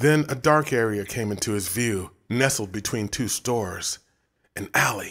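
The background stays quiet while an unforced reading voice is heard.

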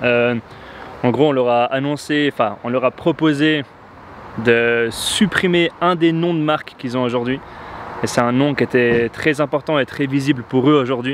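A man at a fairly slow pace with long, frequent pauses and fairly even intonation, in a dry sound with no echo and light background noise. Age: 20s. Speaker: entrepreneur, marketing agency founder. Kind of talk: casual vlog talk to camera. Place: street. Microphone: lapel.

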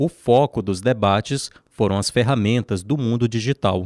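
A man with an unremarkable speaking voice speaks at a medium pitch with ordinary pitch variation. The recording is very clean and dry, with a silent background and no echo. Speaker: news reporter. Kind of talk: scripted narration.

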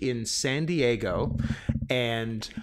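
The recording of this man is very clean, and the background is silent. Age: 30s. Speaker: film podcast co-host. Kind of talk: casual chat.

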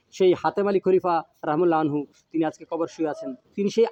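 High-pitched male voice with ordinary pitch variation and a dry, close sound with no echo. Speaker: son of the late preacher, interviewer. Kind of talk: interview with religious reflection. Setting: outdoors at a family home. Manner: formal.

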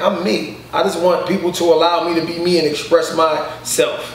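A man speaks at a fairly slow pace. Room echo is audible around his voice. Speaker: comedian guest. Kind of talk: interview answer. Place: home room. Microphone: camera far.

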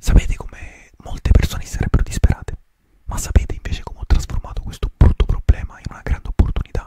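A man whispers at a fairly quick pace. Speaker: ASMR creator. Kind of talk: ASMR whispered talk to camera. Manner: whispered, soft, relaxing. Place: home room. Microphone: studio mic.

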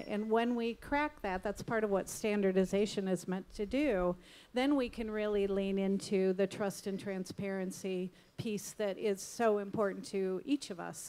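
With an American accent, a woman talks at a moderate pace in a dark, mellow tone with fairly even intonation. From US Midwest, Illinois. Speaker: retail media executive; guest. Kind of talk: panel discussion. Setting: stage with audience. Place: stage. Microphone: handheld.

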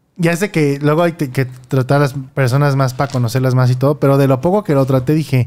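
At a fairly quick pace, a man with a Mexican accent speaks at medium pitch with fairly even intonation. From Mexico. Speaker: podcast host. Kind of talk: casual chat. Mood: relaxed, amused. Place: home room. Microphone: studio mic.

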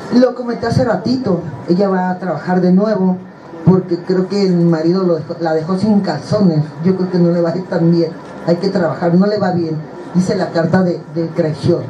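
Light background noise and audible room echo surround a woman speaking at a fairly low pitch and moderate pace with fairly even intonation. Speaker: card reader on a talk show. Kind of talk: casual talk show chat, card reading predictions. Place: studio.

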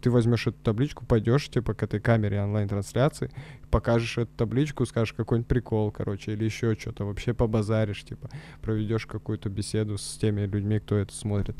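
A man talks at a very fast pace in a fairly low, dark, mellow voice with fairly even intonation. The sound is dry with no echo, and there is light background noise. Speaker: comedy podcast co-host; podcast co-host. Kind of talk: casual chat; casual podcast chat. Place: studio. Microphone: studio mic.

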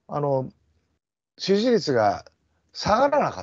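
A man's high voice with very wide pitch swings, against a quiet background. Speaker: politician. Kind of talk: casual political discussion. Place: home room. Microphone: video call.

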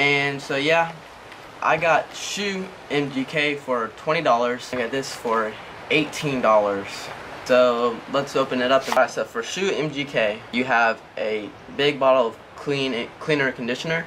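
A man at a very slow pace with ordinary pitch variation over light background noise. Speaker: product reviewer. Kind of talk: product review tutorial. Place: garden. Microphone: camera far.

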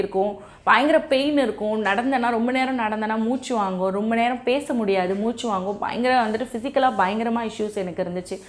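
A woman speaks with fairly high pitch. Hers is a plain, everyday voice. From Chennai, India. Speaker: weight-loss YouTuber. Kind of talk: motivational talk.

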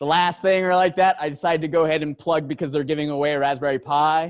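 Against a quiet background, a man with fairly high pitch talks at a moderate pace. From United States. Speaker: engineer giving a tech talk; conference speaker. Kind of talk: conference talk. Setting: stage with audience. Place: hall.

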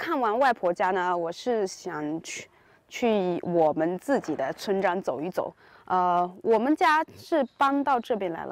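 A woman speaks very slowly with very wide pitch swings, the sound dry with no echo. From rural China. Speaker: Chinese teaching vlogger. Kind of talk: casual vlog narration. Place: open country. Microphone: phone near.

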